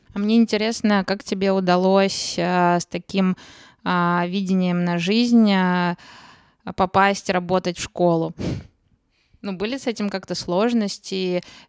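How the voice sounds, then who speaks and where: The speech goes at a very slow pace, with long, frequent pauses and fairly even intonation. The sound is dry and close with no echo, on a very clean recording with a silent background. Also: woman, medium pitch for a woman. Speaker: podcast co-host. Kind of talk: casual interview chat.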